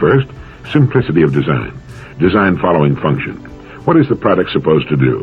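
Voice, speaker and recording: Speaking at a fairly quick pace, a man with a very deep, low pitch swings his pitch very widely. Noticeable background noise runs underneath. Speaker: motivational speaker. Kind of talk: motivational talk.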